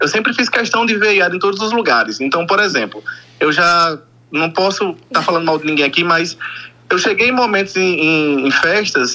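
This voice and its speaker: Against noticeable background noise, a man with a northeastern Brazilian accent talks at a moderate pace in a high pitch with lively intonation. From Brazil, Northeast. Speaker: caller, fan. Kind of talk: phone-in. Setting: phone call.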